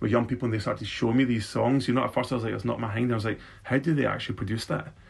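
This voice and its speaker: A man with a Scottish accent, somewhat breathy, at a very fast pace. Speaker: beatboxer and youth worker. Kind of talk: casual interview chat. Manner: animated, jokey.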